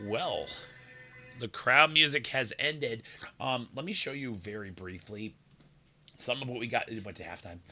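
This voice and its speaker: A man's medium-pitched voice at a moderate pace, with lively intonation, long and frequent pauses, big swings in loudness, and music in the background. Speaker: sports livestream host. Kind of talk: casual chat.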